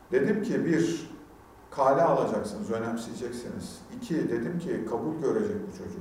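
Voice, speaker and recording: At a moderate pace, a man with a fairly high pitch speaks in very wide pitch swings, amid noticeable background noise and audible room echo. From Turkey, Hatay (Antakya). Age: 40s. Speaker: parenting educator and speaker. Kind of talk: talk to parents. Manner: animated; talkative.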